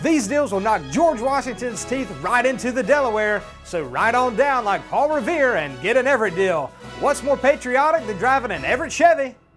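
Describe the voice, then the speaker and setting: Clear music plays behind a man whose pitch is extremely high, with lively intonation. He keeps an upbeat tone at a moderate pace. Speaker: car dealership spokesman. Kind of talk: TV commercial read, car dealership ad. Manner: upbeat, patriotic, hard-sell. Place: studio. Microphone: lapel.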